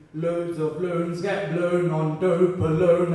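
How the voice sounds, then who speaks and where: Speaking very slowly in a flat monotone, a man with a high pitch is heard over noticeable background noise. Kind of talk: slam poetry performance.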